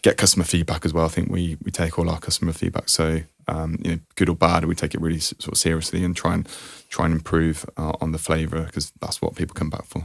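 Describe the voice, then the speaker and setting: A man with an English accent talks at a very fast pace. His pitch is very deep and low, and his intonation monotone and flat. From England, near Birmingham. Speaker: chocolate brand founder. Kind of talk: interview answer.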